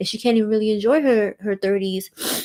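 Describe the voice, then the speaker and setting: Over music in the background, a woman speaks at a fairly quick pace with a fairly high pitch and fairly even intonation. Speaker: lifestyle and relationships host. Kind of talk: casual live audio talk.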